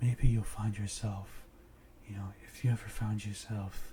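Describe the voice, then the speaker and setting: The tone is calm. Noticeable background noise is present. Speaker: ASMR and meditation content creator. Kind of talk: guided meditation, ASMR relaxation. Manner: soft-spoken, calm, relaxing.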